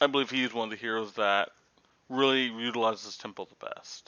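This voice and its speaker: This is a man talking. He goes at a fairly quick pace. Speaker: card game content creator. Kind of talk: tutorial. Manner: fast.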